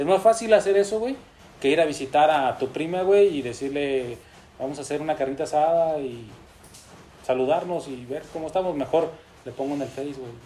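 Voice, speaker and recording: Dark and mellow in tone, a man speaks at a fairly quick pace with ordinary pitch variation. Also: fairly high pitch for a man. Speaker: podcast host. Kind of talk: casual chat.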